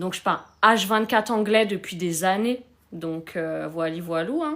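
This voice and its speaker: Her pitch shifts in an ordinary way. The speaker is a woman. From France. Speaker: relationship coach hosting a live stream. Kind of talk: live stream chat answering comments. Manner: sometimes searches for words.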